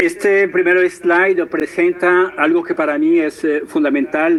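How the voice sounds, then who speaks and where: A man's very slow speech plays out with noticeable background noise. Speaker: professor and entrepreneur, conference speaker. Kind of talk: lecture. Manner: hesitant, many fillers.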